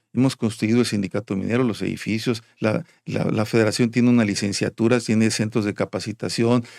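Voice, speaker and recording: A man speaks at a fairly quick, medium-pitched clip with hardly any pauses and fairly even intonation. The recording is very clean with a silent background and a dry, close sound with no echo. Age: 60s. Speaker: union leader. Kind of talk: interview. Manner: halting, many repetitions.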